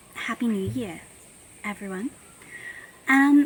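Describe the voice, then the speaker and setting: A woman with an Australian accent has a bright, sharp tone, a fairly high pitch and lively intonation. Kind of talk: casual talk to camera. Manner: rambling, chatty.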